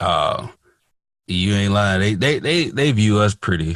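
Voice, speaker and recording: Lively intonation in a Mississippi accent stands out against a quiet background. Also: man. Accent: Mississippi Southern US. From US South, Hattiesburg, Mississippi. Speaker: podcast host. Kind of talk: casual podcast chat.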